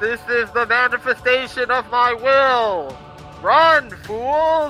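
Shouting in a put-on character voice at an extremely high pitch, a man speaks at a very slow pace over clear music in the background. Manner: yelling, dramatic.

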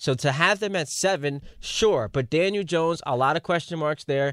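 With a normal speaking voice and ordinary pitch variation, a man comes through in a very clean recording with a silent background and a dry, close sound with no echo. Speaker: radio co-host. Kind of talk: sports talk radio. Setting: studio.

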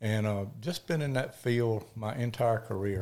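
A man with a Mississippi accent speaks at a moderate pace in a medium-pitched, dark, mellow tone. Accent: Southern US (Mississippi). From US South, Mississippi (Picayune). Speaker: wildlife biologist and land broker. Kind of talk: casual interview chat.

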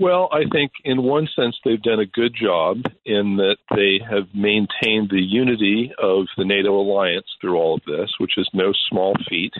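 A man talks at a fairly slow pace with hardly any pauses, in a plain, everyday voice. His pitch is fairly low with ordinary variation, and his loudness stays very even. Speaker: foreign affairs analyst. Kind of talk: radio interview.

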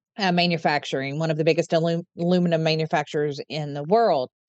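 A woman with an American accent, fairly low in pitch and fairly quick in pace, in a dry, close sound with no echo. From Eastern Kentucky. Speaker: nonprofit chief executive. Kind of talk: interview.

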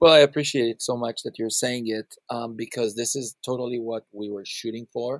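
A man speaks at a moderate pace with fairly even intonation in an unremarkable speaking voice. The sound is dry and close, with no echo. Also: medium pitch for a man. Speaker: video game composer. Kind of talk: casual interview. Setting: video call.

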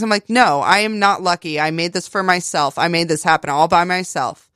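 A woman with an American accent speaks in an unremarkable speaking voice, fairly low in pitch with fairly even intonation. The recording is very clean with a silent background and a dry, close sound with no echo. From West Virginia, US (Fairmont). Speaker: artist and artist's model. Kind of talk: casual interview.

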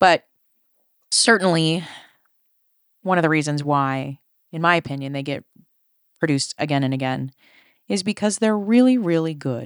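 With an American accent, a woman speaks in a very deep, low voice at a moderate pace, with lively intonation and long, frequent pauses. The recording is very clean, with a silent background and a dry, close sound with no echo. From Colorado, then Chicago area. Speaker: podcast host. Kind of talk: casual chat.

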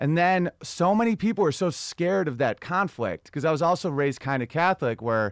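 In a very clean recording with a silent background, a man with an American accent talks at a fairly quick pace in a normal speaking voice. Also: dry, close sound with no echo. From US Northeast. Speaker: comedian. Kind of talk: casual chat.

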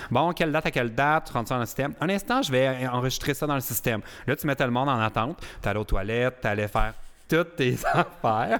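A man talks at a very fast pace, and his pitch varies in an ordinary way. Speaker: podcast host. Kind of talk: casual chat.

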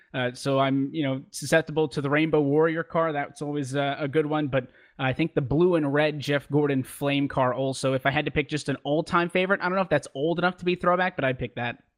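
Rushing at a very fast pace with fairly even intonation, a man speaks in a dry, close sound with no echo. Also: fairly high pitch for a man, hardly any pauses, quiet background. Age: 20s. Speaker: esports racing commentator. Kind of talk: interview.

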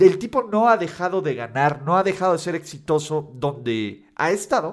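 A man with a high pitch talks at a fairly slow pace with lively intonation, on a very clean recording with a silent background. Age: 30s. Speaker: sports YouTuber and podcaster. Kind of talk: casual commentary monologue.

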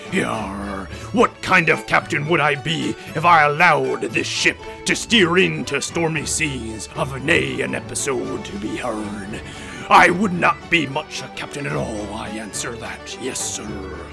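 Clear music sits in the background while a man uses a put-on character voice at medium pitch and a fairly slow pace. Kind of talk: comic pirate accent. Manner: pompous, blustering, growling.

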